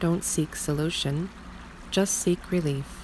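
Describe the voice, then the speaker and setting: A soft-spoken woman talks in a calm tone at a fairly slow pace with fairly even intonation. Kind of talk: meditation / self-help affirmation reading. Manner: soft-spoken, calm.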